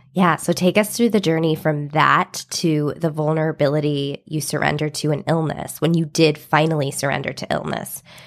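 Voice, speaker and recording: A woman speaks at a moderate pace with a very deep, low pitch and fairly even intonation. There are hardly any pauses, and noticeable background noise runs underneath. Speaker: podcast host and wellness coach. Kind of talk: interview.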